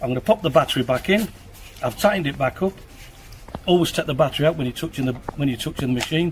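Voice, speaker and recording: Talking at a very fast pace broken by long, frequent pauses, a man uses a fairly high pitch with ordinary variation. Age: 60s. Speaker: tool reviewer. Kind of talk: product review tutorial. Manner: casual, slightly halting.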